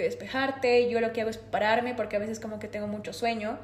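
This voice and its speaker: Noticeable background noise and audible room echo surround the recording. A woman speaks with a fairly high pitch. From Bolivia, La Paz. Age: 20s. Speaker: systems engineer, time management expert. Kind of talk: interview.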